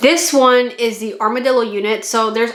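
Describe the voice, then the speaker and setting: Over noticeable background noise and audible room echo, a woman speaks at a moderate pace with a fairly high pitch. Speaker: model kit reviewer. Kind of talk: product review vlog. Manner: casual, chatty.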